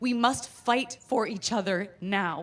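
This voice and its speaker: A loud, fairly high woman's voice with an American accent. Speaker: performer. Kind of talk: personal storytelling monologue. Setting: stage with audience.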